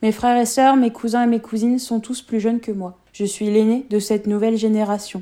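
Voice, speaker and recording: Speaking at a fairly high pitch, a woman talks at a fairly quick pace with hardly any pauses and a monotone, flat intonation. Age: 20s. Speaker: radio documentary contributor. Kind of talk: scripted narration.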